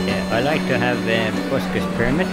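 A man's moderate-paced speech competes with loud music in the background. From Australia. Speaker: street musician. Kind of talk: interview answer. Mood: friendly, modest. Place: tunnel cave. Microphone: handheld.

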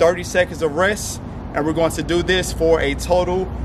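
A man speaks in a high pitch. Noticeable background noise runs under his voice. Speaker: boxing fitness coach. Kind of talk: fitness video intro. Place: street.

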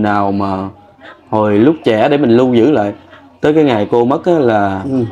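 A man with a Southern Vietnamese accent at a fairly slow pace, with ordinary pitch variation. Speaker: vlogger. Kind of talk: field interview. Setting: outdoors. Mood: wistful, grieving late wife. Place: workshop. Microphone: lapel.

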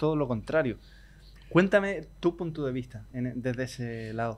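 A man with a normal speaking voice, ordinary pitch variation and fairly high pitch. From Chile. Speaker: podcast host and flamenco guitar teacher. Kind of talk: casual interview chat. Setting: hotel.

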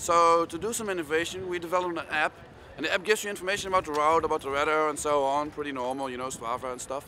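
A man at a very fast pace with ordinary pitch variation, amid noticeable background noise. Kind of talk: interview answer. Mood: enthusiastic, explanatory. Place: street.

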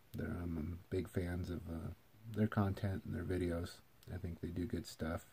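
Speaking with an American accent, a man uses a very deep, low pitch and a dark, mellow tone, somewhat breathy, at a fairly slow pace with fairly even intonation. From Eastern Washington, US. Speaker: vlogger; channel host. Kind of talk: casual video intro monologue; casual vlog chat. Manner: hesitant with many fillers. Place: home room. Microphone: phone near.

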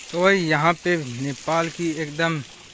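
A man is recorded with a dry sound, no echo, and light background noise. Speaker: vlogger. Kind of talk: casual vlog chat. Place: garden. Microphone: phone near.

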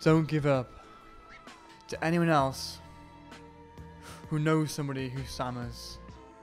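Music plays in the background as a man talks at a fairly slow pace with long, frequent pauses. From Wales, Newport. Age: 20s. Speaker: music student. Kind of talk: personal testimony to camera.

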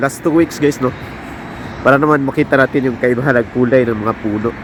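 A man talks fairly quickly, and noticeable background noise is present. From Philippines, Visayas. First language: Cebuano (Bisaya) (speaking Tagalog). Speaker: vlogger, factory worker abroad. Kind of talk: casual vlog narration. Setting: outdoors. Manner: halting, many fillers.

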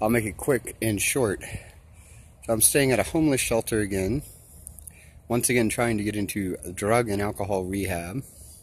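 Fairly quick speech from a man, his pitch varying in an ordinary way. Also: dry sound with no echo. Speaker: vlogger. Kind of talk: casual vlog chat. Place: open country. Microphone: phone near.

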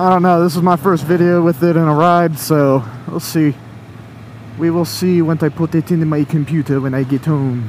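Someone with an American accent talks at a moderate pace against noticeable background noise. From Florida, Tallahassee. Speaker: motorcycle vlogger. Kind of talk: casual monologue while riding. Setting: on a motorcycle, helmet headset. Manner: rambling, hesitant with fillers.

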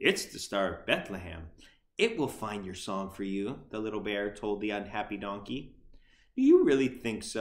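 What comes through is a natural reading voice.

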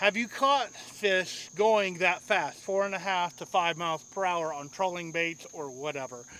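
A man speaks at a moderate pace in a raised, projected voice with a bright, sharp tone. The sound is dry with no echo, over light background noise. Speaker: fishing vlogger. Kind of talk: casual vlog chat. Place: boat. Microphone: camera far.

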